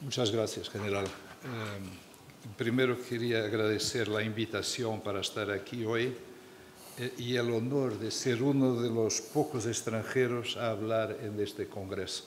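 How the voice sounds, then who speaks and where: Against audible room echo, a man at medium pitch speaks at a fairly slow pace in a flat monotone. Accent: Portuguese. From Portugal. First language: Portuguese (speaking Spanish). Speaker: diplomat, former minister. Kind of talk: panel talk.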